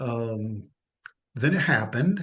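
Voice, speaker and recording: This voice belongs to a man. It carries a somewhat breathy quality. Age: 60s. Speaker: coaching client. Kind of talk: testimony. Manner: halting.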